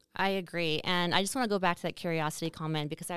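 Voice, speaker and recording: In a very clean recording with a silent background, a woman with a fairly low pitch speaks at a very fast pace with fairly even intonation. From Saskatchewan, Canada. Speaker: podcast host, marketing business owner. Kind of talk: casual chat.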